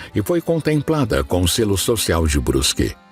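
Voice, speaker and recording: A man at medium pitch with very wide pitch swings and a fairly slow pace, music in the background. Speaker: documentary narrator. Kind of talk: documentary narration.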